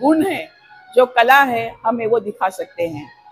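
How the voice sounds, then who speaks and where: A woman speaks with lively intonation. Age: 70s. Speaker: retired vice principal. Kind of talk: interview testimony.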